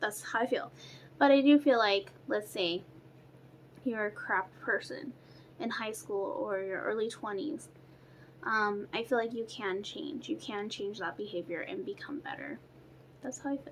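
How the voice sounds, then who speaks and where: A woman's fairly high voice with very wide pitch swings, a moderate pace and long, frequent pauses. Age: 20s. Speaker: beauty vlogger. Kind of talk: casual chat. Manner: casual, filler-heavy.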